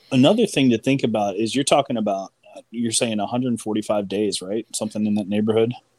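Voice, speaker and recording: A normal speaking voice with an American accent, fairly quick and fairly even in intonation, in a dry, close sound with no echo. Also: man, medium pitch for a man. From US Mid-Atlantic, outside Washington DC. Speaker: artist. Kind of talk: casual chat.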